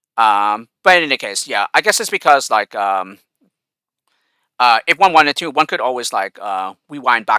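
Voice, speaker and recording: A man at a mid-range pitch talks with very wide swings in pitch and big jumps in loudness. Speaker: gaming YouTuber. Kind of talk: casual Q&A monologue. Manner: very fast; hesitant, many fillers.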